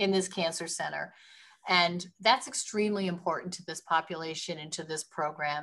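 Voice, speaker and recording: A woman speaks at a moderate pace in a medium-pitched voice. Her pitch varies in an ordinary way. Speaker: hospital administrator presenting a project. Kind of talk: presentation to a planning commission. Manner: halting, many restarts.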